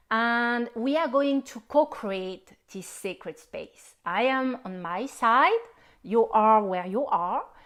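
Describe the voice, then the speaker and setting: A fairly high-pitched woman's voice, very slow and lively in intonation, with big swings in loudness, on a very clean recording with a silent background. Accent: non-native. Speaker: spiritual healer. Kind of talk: live-stream workshop introduction. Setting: Facebook live stream.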